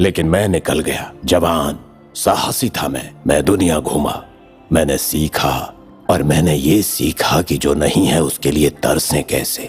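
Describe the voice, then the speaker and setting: With clear music in the background, a man puts on a character voice at a very deep, low pitch and a fairly slow pace. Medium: fan dub. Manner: calm, cryptic, solemn.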